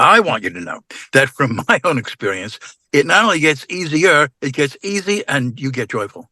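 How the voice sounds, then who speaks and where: A man with a fairly high pitch, bright, sharp tone and vocal fry, very wide pitch swings and a moderate pace, in a dry, close sound with no echo. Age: 80s+. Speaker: bereaved father, regular panelist. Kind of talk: personal testimony.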